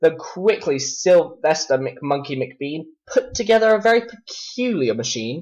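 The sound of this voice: At a fairly slow pace, a man speaks with a fairly high pitch, a slightly mellow tone and lively intonation.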